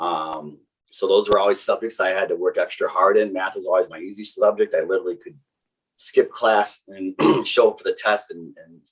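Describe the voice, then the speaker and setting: With a slight Wisconsin accent, a man speaks with big swings in loudness. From Wisconsin, greater Milwaukee area. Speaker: technical sales engineer. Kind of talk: casual interview chat. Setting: podcast interview. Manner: fast; many fillers and restarts.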